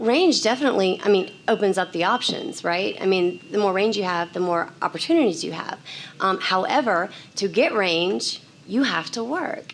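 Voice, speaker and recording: Over noticeable background noise, a woman speaks at medium pitch and a moderate pace with lively intonation. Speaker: commercial voice actor. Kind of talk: conference panel talk.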